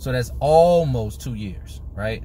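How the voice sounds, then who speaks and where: Over light background noise, a man speaks at a fairly slow pace and fairly low pitch, with a dry sound and no echo. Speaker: personal finance vlogger. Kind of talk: casual explainer vlog. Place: car. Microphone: phone near.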